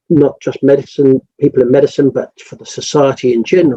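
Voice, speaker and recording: A man with an English accent at a fairly quick pace, in a dry, close sound with no echo. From England. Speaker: rural doctor. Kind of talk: interview. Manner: halting, many repeated words.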